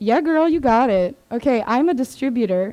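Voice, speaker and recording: A woman with a Mid-Atlantic accent has a dark, mellow tone, captured with a dry, close sound and no echo. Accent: American, Mid-Atlantic. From Maryland, US (Swedish family). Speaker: biotech sales distributor employee. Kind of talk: presentation to a group. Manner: casual, filler-heavy.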